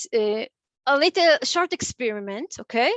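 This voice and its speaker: At a fairly slow pace, a woman with a non-native accent talks in a high voice. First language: Hebrew. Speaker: clinical psychologist. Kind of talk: interactive lecture. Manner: halting, many fillers.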